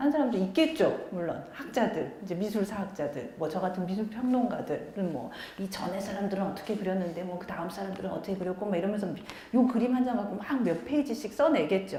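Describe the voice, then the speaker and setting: Fairly quick, lively speech with noticeable background noise and audible room echo. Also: woman, medium pitch for a woman. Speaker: art critic and lecturer. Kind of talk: public lecture. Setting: small lecture room with audience, using a microphone. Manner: conversational, engaging audience.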